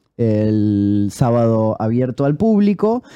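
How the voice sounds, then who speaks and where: A very slow male voice, dark and mellow in tone, with very wide pitch swings. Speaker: voice actor and co-host. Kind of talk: casual chat.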